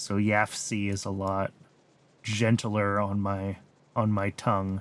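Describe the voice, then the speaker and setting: Someone speaks with an American accent at a very slow pace. The intonation is monotone and flat. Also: man, fairly low pitch for a man. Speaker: video game streamer. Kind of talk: live gameplay commentary. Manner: casual, thinking aloud with fillers.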